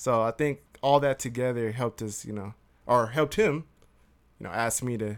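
This is an ordinary speaking voice with an American accent, heard at a moderate pace with fairly even intonation. The recording is very clean, with a silent background. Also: man. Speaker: podcast co-host. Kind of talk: casual chat.

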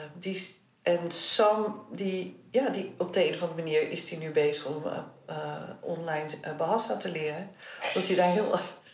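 The speech moves at a moderate pace. Audible room echo and noticeable background noise surround it. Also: woman, fairly low pitch for a woman, ordinary pitch variation. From Netherlands. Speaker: interviewee sharing family history. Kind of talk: personal interview. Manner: halting.

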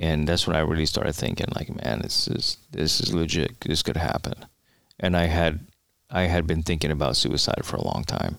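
A man with an American accent, very deep and low in pitch, with vocal fry, at a moderate pace. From New York City, the Bronx. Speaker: retired police officer and Marine veteran. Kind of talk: interview conversation.

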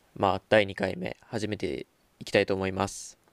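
In a very clean, dry, close recording with a silent background and no echo, a man speaks at a moderate pace with fairly low pitch and flat, monotone intonation. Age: young. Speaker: podcast host. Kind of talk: casual chat. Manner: halting.

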